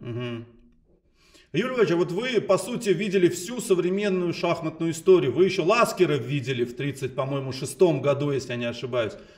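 Over a quiet background, a high-pitched man speaks at a fairly quick pace with very wide pitch swings and big swings in loudness. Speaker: chess interviewer. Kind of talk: interview questions. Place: home room.

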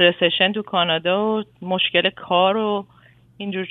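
A woman talks in a normal speaking voice. Her pitch is medium and her intonation fairly even. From Iran. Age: 40s. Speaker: caller, mother. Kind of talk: advice call-in. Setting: phone call.

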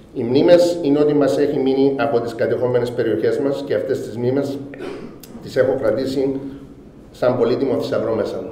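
A man talks at a moderate pace with long, frequent pauses. Audible room echo and light background noise surround him. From Cyprus, Famagusta; Cyprus. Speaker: businessman. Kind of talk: formal speech. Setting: award ceremony. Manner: formal. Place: hall. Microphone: podium.

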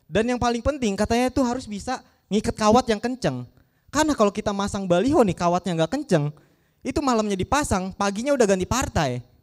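Here a man talks at a very fast pace, with an animated tone, a high pitch and lively intonation. The recording is very clean with a silent background, and the sound is dry and close with no echo. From Depok, Indonesia. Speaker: stand-up comedian. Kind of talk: stand-up comedy set, audition. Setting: stage with audience. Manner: animated, punchline-driven; fast, casual, conversational delivery.

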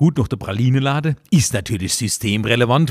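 Man's voice at medium pitch with ordinary pitch variation, dry and close with no echo. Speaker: cabaret artist. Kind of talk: comedic dialect monologue, satirical commentary. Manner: chatty, humorous.

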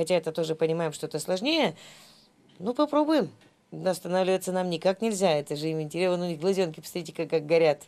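Fast speech comes from a woman with a fairly low pitch and a slightly mellow tone. Her pitch variation is ordinary.

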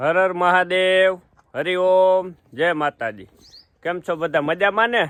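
The recording is dry, with no echo. A man speaks in a high pitch with ordinary pitch variation. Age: 30s. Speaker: family vlogger and farmer; family vlogger. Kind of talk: casual vlog chat. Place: farm. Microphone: phone near.

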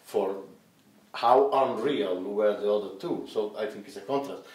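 Audible room echo surrounds a man with an Italian accent speaking in a fairly low pitch at a moderate pace. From Italy. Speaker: film director; interviewee. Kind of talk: interview; interview answer. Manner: halting. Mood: relaxed, cheerful.

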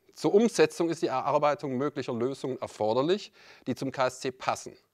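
A man talks at a moderate pace with lively intonation. His pitch is fairly high, and the background is quiet. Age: 50s. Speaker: club vice-president candidate, company director; candidate. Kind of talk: prepared campaign speech. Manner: formal. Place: meeting room. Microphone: handheld.

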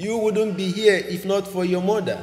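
A man's high-pitched voice at a fairly slow pace, with audible room echo. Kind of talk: sermon. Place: church. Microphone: podium.

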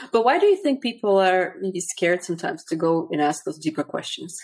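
Speaking very fast, a woman with a fairly low pitch comes through against a quiet background. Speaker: podcast host. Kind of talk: interview. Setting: video call. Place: home room. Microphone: studio mic.

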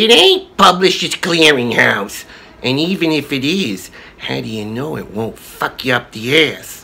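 The speaker uses a put-on character voice at a low-to-middle pitch. The pace is moderate. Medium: comedy sketch. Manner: gruff, tough-guy.

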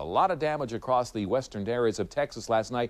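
A man is speaking. His tone is enthusiastic. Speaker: TV meteorologist. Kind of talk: live TV weather forecast walking through radar and maps. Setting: TV studio. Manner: brisk, conversational and enthusiastic, with folksy asides; vividly animated when describing severe storms.

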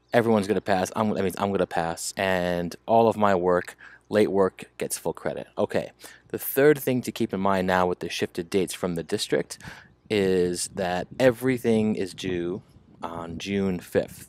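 Delivered at a moderate pace with fairly even intonation, the voice sounds dry, with no echo. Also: man. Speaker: teacher. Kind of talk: class announcement to students. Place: home room.

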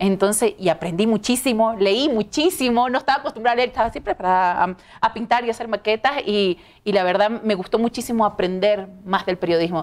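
A woman speaks at a fairly quick pace, her pitch fairly high with ordinary variation. Her loudness stays very even. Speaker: TV news presenter. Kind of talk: interview. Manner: talkative. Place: studio. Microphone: lapel.

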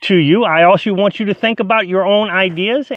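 Speaking at a fairly quick pace, a man with a high voice is heard in a dry, echo-free recording against a quiet background. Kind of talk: casual vlog chat. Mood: earnest, explanatory. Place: open country. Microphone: phone near.

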